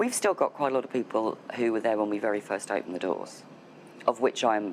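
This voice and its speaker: A woman's very deep, low voice at a fairly quick pace, over noticeable background noise. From United Kingdom. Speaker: voice over agent. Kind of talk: interview answer.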